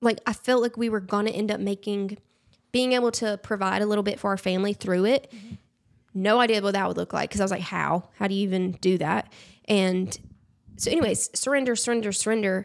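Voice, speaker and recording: A woman at a medium pitch talks at a very fast pace with fairly even intonation. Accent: Southern US. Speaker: influencer. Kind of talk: casual chat.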